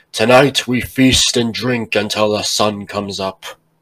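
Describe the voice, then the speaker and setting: Booming and at a moderate pace, a man in a put-on character voice speaks at a medium pitch with fairly even intonation. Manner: commanding, booming, proud.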